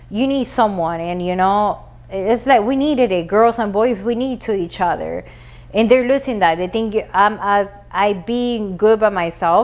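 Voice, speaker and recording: A woman with a Spanish accent speaks at a moderate pace, her pitch medium with ordinary variation. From Latin America. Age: 40s. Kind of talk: casual chat.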